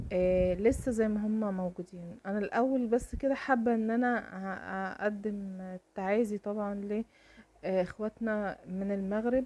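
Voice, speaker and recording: Speaking at a fairly slow pace in an Egyptian accent, a woman keeps a fairly even intonation with a dark, mellow tone at medium pitch. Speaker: lifestyle vlogger. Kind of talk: casual vlog chat.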